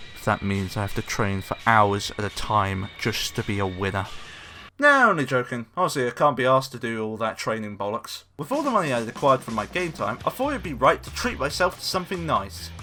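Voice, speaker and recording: Over a very clean recording with a silent background, a man with a British accent talks at a fairly quick pace in a bright, sharp tone. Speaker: gaming YouTuber. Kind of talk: scripted game review narration; casual outro thanks. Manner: stuttering in places.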